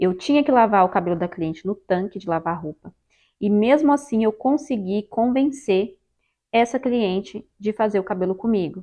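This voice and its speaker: A woman at medium pitch with a Brazilian accent, lively intonation and a moderate pace. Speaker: hairdresser and hair straightening instructor. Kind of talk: tutorial. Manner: halting.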